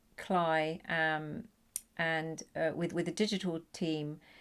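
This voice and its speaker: A woman speaks with a British accent at a fairly slow pace, her pitch fairly low and her intonation fairly even. The recording is very clean, with a silent background. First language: Punjabi. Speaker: poet. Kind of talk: interview talk about her project. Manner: halting, many fillers and repetitions.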